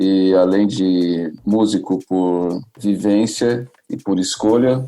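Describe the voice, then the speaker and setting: Fairly low in pitch, a man with a São Paulo accent speaks in a dark, mellow tone with fairly even intonation. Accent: Paulistano Brazilian Portuguese. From Brazil, São Paulo north zone periphery. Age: 30s. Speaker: musician and music entrepreneur. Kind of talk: podcast interview.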